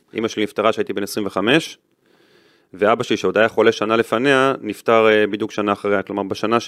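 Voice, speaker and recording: Dry and close with no echo, a man speaks at a very fast pace. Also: very clean recording, silent background. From Israel, Netanya. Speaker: retired football referee. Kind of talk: interview.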